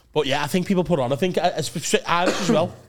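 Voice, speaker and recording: With a Liverpool accent, a man speaks. He talks at a very fast pace. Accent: soft Liverpool Scouse. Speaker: podcast co-host. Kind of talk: casual, heavy swearing. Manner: enthusiastic, banter-driven.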